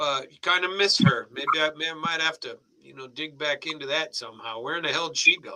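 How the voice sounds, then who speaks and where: A man has an unremarkable speaking voice, fairly high in pitch with ordinary pitch variation. He talks at a fairly quick pace with big swings in loudness. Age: 60s. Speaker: family member on a live stream. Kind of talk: casual chat.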